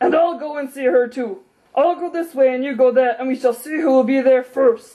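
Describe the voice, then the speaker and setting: A high-pitched, put-on character voice at a moderate pace. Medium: read story.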